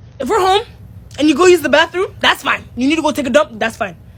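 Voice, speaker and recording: Words come at a very fast pace over noticeable background noise. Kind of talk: casual rant.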